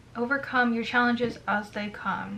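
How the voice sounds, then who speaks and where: Through noticeable background noise, a high-pitched woman speaks at a moderate pace in a monotone, flat intonation. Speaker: YouTuber. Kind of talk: casual vlog monologue. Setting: home recording on camera. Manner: many filler words; loud, near yelling. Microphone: no microphone, camera audio.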